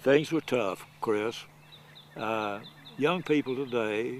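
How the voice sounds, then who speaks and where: Speaking very slowly, a man uses a medium pitch with a Southern US accent. His pitch varies by an ordinary amount. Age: 80s+. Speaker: elderly golfer. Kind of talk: storytelling. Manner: halting.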